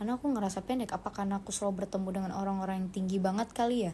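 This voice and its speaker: A woman speaks at a very fast pace. Her tone is dark and mellow, and somewhat breathy. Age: 20s. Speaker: actress. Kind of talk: casual chat. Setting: Instagram live stream.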